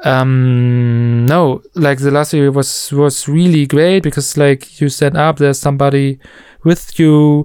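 A man speaks with a fairly high pitch at a fairly slow pace. His intonation stays fairly even. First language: German. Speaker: musician. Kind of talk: casual chat.

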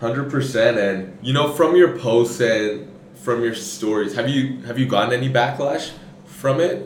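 This man has a medium pitch and ordinary pitch variation, speaking at a fairly slow pace. Audible room echo and noticeable background noise are present. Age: 20s. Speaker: podcast host. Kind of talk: casual interview.

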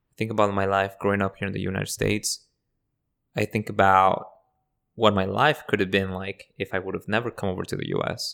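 A man with a Spanish accent speaks at a fairly quick pace and fairly low pitch, his intonation fairly even. The recording is very clean, with a silent background. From Mexico, near Mexico City, raised in Southern California from age eleven. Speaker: immigrant rights activist. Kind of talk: interview conversation.

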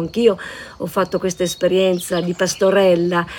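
A woman's medium-pitched voice comes through clear background noise. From Natisone valleys, Friuli (Mersino, Pulfero). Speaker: local resident sharing memories. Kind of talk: interview, personal recollection.

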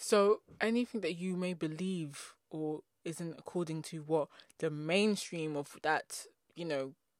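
With an English accent, a woman speaks in a very deep, low pitch, the sound dry and close with no echo. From England. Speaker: podcast host. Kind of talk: casual monologue. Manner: fast talker; animated.

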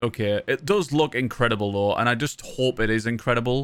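A Sunderland accent with fairly even intonation, on a very clean recording with a silent background. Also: man. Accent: Mackem (Sunderland) northern English. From Sunderland, northern England. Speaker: podcast host and full-time Twitch streamer. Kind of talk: casual chat. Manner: informal, rambling, joking.

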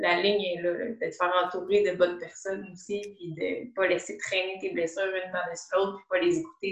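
A woman talks at a fairly quick pace in a medium pitch, with big swings in loudness. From Quebec, Montreal south shore. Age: 20s. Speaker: physiotherapist. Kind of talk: interview.

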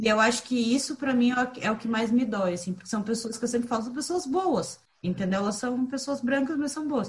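A woman speaks in a normal speaking voice at a moderate pace. Her pitch is fairly high, and her intonation is lively. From southern Brazil, raised in Curitiba. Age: 30s. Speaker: podcast co-host, entrepreneur. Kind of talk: casual group conversation.

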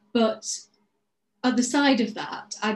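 A woman talks in a somewhat breathy voice. Her intonation stays fairly even. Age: 40s. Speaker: dancer and business coach. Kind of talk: interview.

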